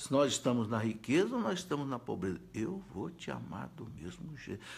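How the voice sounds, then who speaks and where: A man talks at a moderate pace. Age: 60s. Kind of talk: live-stream Q&A talk. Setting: Facebook live video. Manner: halting, repetitive.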